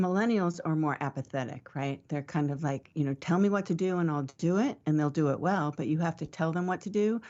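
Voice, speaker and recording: A woman with an ordinary speaking voice, pitched fairly low. She talks at a fairly quick clip with ordinary pitch variation and hardly any pauses. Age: 60s. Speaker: marketing panelist. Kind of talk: panel discussion.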